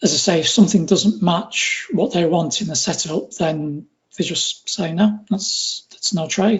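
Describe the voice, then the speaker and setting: A fairly slow delivery with a northwest English accent. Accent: northwest English accent, noticeable. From northwest England. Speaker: retail trader. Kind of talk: interview.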